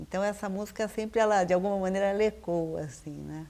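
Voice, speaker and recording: Ordinary pitch variation in an unremarkable speaking voice. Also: woman. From Brazil, São Paulo city. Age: 50s. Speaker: visual artist. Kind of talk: interview.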